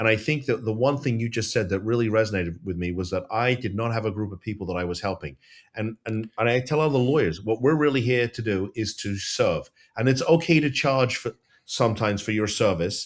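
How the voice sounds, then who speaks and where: On a very clean recording with a silent background, a man speaks in a normal speaking voice at a medium pitch and a fairly quick pace, with ordinary pitch variation. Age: 50s. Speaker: lawyer and podcast host. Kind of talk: podcast interview.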